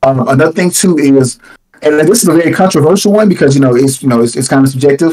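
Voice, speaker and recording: A man speaks at a very fast pace with a fairly high pitch and very even loudness. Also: ordinary pitch variation. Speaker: YouTube content creator. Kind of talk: casual chat.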